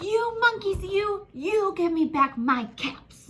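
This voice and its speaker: A woman puts on a character voice pitched extremely high, with very wide swings in pitch. She speaks at a very slow pace. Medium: read story. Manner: stammering when angry.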